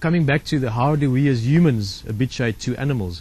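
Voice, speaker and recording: A man's somewhat breathy voice, medium in pitch, with ordinary pitch variation. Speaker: safari guide. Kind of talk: casual chat. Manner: fast.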